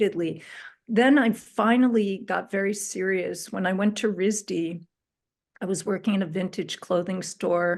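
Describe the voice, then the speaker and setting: Using a plain, everyday voice at medium pitch, a woman speaks at a moderate pace with fairly even intonation. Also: quiet background. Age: 60s. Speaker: spiritual astrologer. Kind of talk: interview, personal story.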